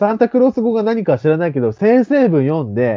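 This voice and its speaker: The pitch swings very widely. Speech moves at a fairly quick tempo. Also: man. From Fukuoka, Japan. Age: 30s. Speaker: podcast co-host. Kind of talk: casual chat.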